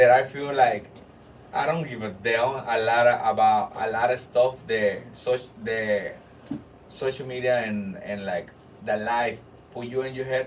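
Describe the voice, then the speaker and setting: Noticeable background noise accompanies a man with a Spanish accent speaking at medium pitch and a fairly slow pace. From Honduras. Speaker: rapper. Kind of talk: casual interview. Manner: halting.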